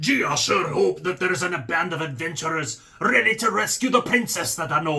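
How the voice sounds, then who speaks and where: A man puts on a character voice pitched high. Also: fairly quick pace. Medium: solo performance.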